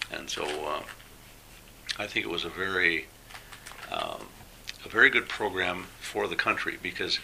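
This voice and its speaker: Moderate-paced speech from a man with a western Canadian accent, over noticeable background noise. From Alberta, Canada. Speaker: retired engineering teacher, former volunteer. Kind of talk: interview. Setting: at home.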